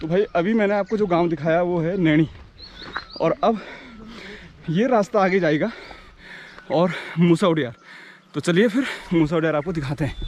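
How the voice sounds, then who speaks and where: Over noticeable background noise, a man with a high pitch and ordinary pitch variation speaks with long, frequent pauses. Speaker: travel vlogger. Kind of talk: vlog walk-and-talk with villager interviews. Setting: outdoors, mountain trail. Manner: casual, friendly.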